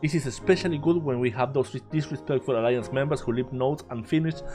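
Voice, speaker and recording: A man speaks very fast with a Spanish accent and lively intonation. Music plays in the background. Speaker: game content creator. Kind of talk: game guide narration.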